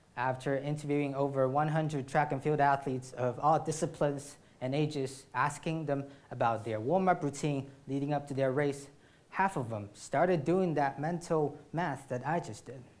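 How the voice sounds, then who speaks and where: A man's fairly high voice at a moderate pace, fairly even in intonation, with audible room echo. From China. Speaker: startup founder, student athlete. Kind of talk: startup pitch. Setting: stage with audience.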